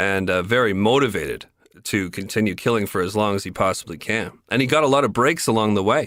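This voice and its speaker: A very fast pace with very even loudness, in a Canadian accent, on a very clean recording with a silent background. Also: man, fairly low pitch for a man, ordinary pitch variation. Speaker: podcast host. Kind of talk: casual chat.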